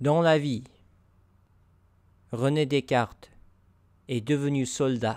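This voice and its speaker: Speaking with an American accent, a man holds a fairly high pitch and fairly even intonation. He goes at a very slow pace, with long, frequent pauses. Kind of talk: narrated story.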